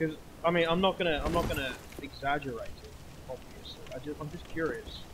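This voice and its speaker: Big swings in loudness come through at a fairly quick pace, with noticeable background noise. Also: man, fairly high pitch for a man. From Australia. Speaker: video game streamer. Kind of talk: live gameplay commentary. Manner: casual, hesitant with fillers. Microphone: microphone issues, poor audio.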